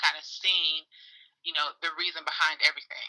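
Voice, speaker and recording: Her tone bright and sharp, a woman speaks in an American accent. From US South, Atlanta, Georgia. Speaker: small business owner. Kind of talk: casual interview.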